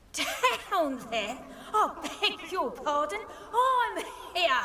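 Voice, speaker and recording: In a put-on character voice, the speaker goes very slowly at an extremely high pitch with very wide pitch swings. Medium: video game. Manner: polite, fussy, coughing.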